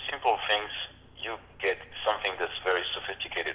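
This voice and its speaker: With a French accent, a man talks at a fairly quick pace. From Reunion Island. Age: 50s. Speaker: harmonica player. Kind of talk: interview. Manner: halting.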